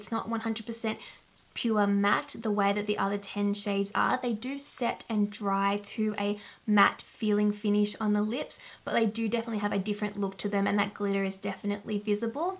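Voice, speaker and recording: With an Australian accent, a woman talks at a fairly quick pace in a monotone, flat intonation. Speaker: beauty vlogger. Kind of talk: casual product review to camera.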